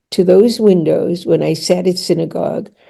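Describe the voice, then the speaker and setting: A woman speaks at a fairly slow pace. Her voice is somewhat breathy, with a dark, mellow tone. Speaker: author and therapist. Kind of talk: casual chat. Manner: halting.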